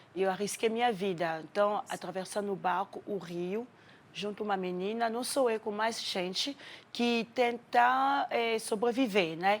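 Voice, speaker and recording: Here a woman talks with a French accent at a medium pitch. She goes at a fairly slow pace with ordinary pitch variation. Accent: French accent in Portuguese, still noticeable. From Democratic Republic of the Congo. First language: French (speaking Portuguese). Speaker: actress and refugee. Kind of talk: TV interview.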